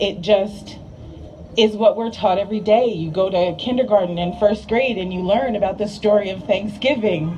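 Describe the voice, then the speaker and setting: At a moderate pace, a woman with a medium pitch speaks over noticeable background noise. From New Jersey, US. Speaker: rally speaker. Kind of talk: speech. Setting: outdoor rally. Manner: loud; animated.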